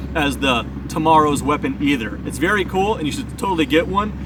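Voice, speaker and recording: Amid noticeable background noise and audible room echo, a man with an American accent speaks at a fairly quick pace. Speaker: firearms reviewer. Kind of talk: product review. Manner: loud.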